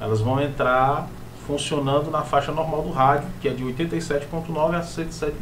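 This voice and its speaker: Noticeable background noise sits behind a man speaking at a fairly slow pace. His fairly high voice has monotone, flat intonation. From Ceará, Brazil. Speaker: radio announcer. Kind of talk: casual chat. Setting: studio.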